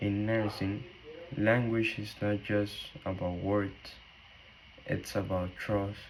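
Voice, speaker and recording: Speaking very slowly in a Spanish accent, a man keeps a flat, monotone delivery broken by long, frequent pauses. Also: fairly low pitch for a man. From Cuba. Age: 20s. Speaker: nursing student. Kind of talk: class presentation.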